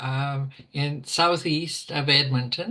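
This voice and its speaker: In a Canadian Prairies accent, a woman speaks at a very slow pace with ordinary pitch variation. Her tone is bright and sharp, and the background is quiet. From Alberta, Canada (rural Ponoka County). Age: 80s+. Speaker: retired teacher with MS. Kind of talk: interview, personal story. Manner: halting, many fillers.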